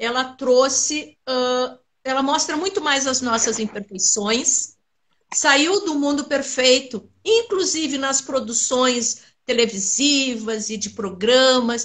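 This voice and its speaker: This woman has a high voice and speaks at a very slow pace. Her pitch varies in an ordinary way. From southern Brazil, Rio Grande do Sul (Pelotas). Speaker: Alzheimer awareness collective founder. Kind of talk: interview.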